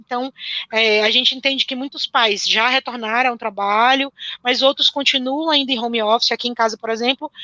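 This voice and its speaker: Speaking at a fairly quick pace, a woman uses a high voice. Her intonation stays fairly even. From northeastern Brazil (born in Pernambuco). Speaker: teacher. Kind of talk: live-stream interview.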